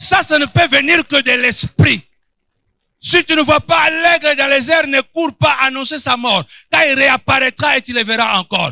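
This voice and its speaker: At a fairly slow pace, a man speaks in a raised, projected voice with an extremely high pitch, a bright, sharp tone and an animated delivery, the sound dry and close with no echo. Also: ordinary pitch variation. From Angola. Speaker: pastor. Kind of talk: sermon.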